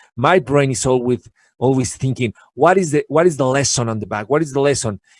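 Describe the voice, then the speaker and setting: A man with a Spanish accent speaks at a fairly quick pace in a medium pitch with ordinary pitch variation, the sound dry and close with no echo. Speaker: guest speaker on learning. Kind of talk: casual interview chat. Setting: live video show. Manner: halting, repetitive.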